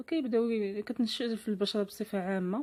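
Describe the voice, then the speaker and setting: With a dark, mellow tone, a woman speaks at a moderate pace. Her medium-pitched voice keeps fairly even intonation. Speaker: lifestyle vlogger. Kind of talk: vlog tutorial. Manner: halting.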